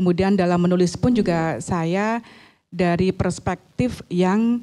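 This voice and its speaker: A woman's dark, mellow tone at medium pitch, with ordinary pitch variation and a fairly slow pace. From Central Java, Boyolali. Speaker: author. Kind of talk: talk show interview. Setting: campus stage with audience. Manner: thoughtful with hesitations.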